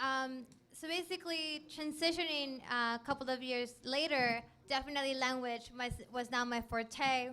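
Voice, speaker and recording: Raising and projecting her high voice, a woman with a Spanish accent speaks over noticeable background noise. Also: fairly even intonation, moderate pace. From Mexico, Ensenada. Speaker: STEM program director. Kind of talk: panel talk to students.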